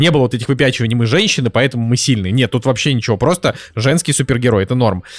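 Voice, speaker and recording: This man speaks at a medium pitch. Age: 20s. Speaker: podcast host. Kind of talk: casual chat.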